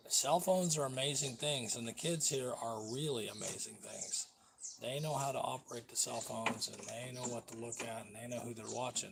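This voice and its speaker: A man with an American accent talks at a fairly quick pace and medium pitch, with ordinary pitch variation. His loudness swings widely, and there is noticeable background noise. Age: 70s. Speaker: vlogger. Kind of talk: casual live-stream rant. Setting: home live stream.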